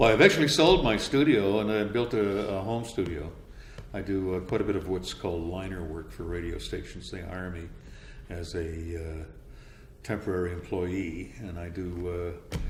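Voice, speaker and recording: Speaking with a Canadian accent, a man with a very deep, low pitch sounds somewhat breathy, with ordinary pitch variation and big swings in loudness, in audible room echo. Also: moderate pace. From Canada, Winnipeg. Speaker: radio voice-over announcer. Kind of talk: interview.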